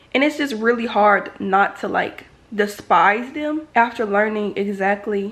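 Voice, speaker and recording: Noticeable background noise sits under a woman's animated tone, pitched fairly high. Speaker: college student vlogger. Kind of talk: casual vlog talk to camera. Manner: loud.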